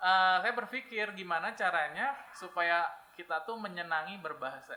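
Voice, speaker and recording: Raising and projecting his voice, a man speaks at a moderate pace in a bright, sharp tone, high-pitched with lively intonation. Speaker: English teacher. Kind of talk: podcast interview. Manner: hesitant fillers.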